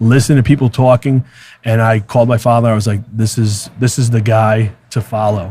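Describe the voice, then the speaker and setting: At a fairly quick pace, a man speaks in a somewhat breathy, dark, mellow tone, medium in pitch and flat, monotone in intonation. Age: 30s. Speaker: real estate team leader. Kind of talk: podcast interview. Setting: conference venue. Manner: halting, many fillers.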